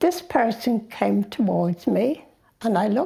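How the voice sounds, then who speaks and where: A woman's dark, mellow voice with vocal fry, at a very slow pace. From Ireland, Dublin. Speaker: interviewee in a documentary. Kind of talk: personal life story told to camera.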